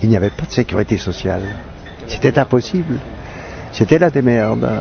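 A man's voice, dry with no echo, over background music. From Switzerland. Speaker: actor and comedian. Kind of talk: interview answer. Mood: reflective, wry. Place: garden. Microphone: handheld.

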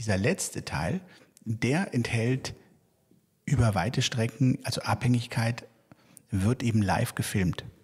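Somewhat breathy, a man speaks at a fairly slow pace in a medium pitch. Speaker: theatre director hosting podcast. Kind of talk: interview conversation.

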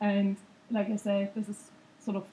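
A woman with a dark, mellow tone, somewhat breathy, speaks at a moderate pace. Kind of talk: lecture. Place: hall.

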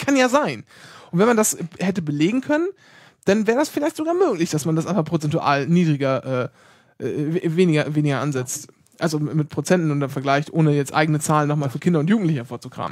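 The pace of this man's speech is very fast. He speaks at a fairly high pitch. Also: ordinary pitch variation, very clean recording, silent background. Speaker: podcast host. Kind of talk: casual chat.

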